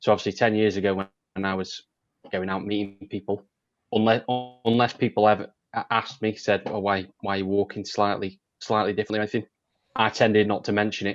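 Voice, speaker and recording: Over a quiet background, a man rattles along at a very fast pace in a fairly low pitch, his intonation monotone and flat. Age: 30s. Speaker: panellist with muscular dystrophy. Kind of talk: panel discussion.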